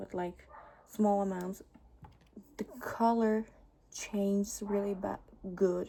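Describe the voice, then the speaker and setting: A woman with a non-native accent, medium pitch, a dark, mellow tone and a very slow pace. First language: not English. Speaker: beauty vlogger. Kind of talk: makeup tutorial. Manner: halting, with pauses.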